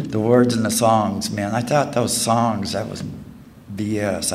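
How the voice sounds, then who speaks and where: Over noticeable background noise and audible room echo, a man talks at a moderate pace and a medium pitch. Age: 50s. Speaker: recovering alcoholic speaker. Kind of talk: testimony. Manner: halting.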